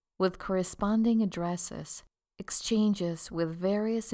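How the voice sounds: A quiet background lies behind a natural reading voice.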